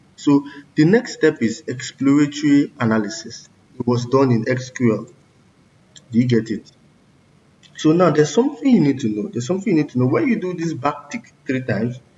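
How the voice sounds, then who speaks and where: A somewhat breathy man with a fairly high pitch and lively intonation talks at a fairly quick pace, broken by long, frequent pauses. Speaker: coding tutorial creator. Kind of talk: tutorial.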